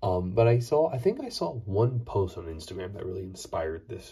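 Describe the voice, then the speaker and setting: A quiet, somewhat breathy male voice with a dark, mellow tone at a moderate pace. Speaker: Lego building YouTuber. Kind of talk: casual video monologue. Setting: at home late at night.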